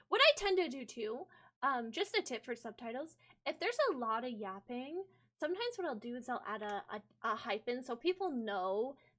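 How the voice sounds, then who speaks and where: A woman with an American accent speaks at a moderate pace in a high pitch, her voice swinging very widely up and down. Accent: American, specific regional. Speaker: vtuber streamer. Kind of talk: live stream editing tutorial. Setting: live stream. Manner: casual, with filler words.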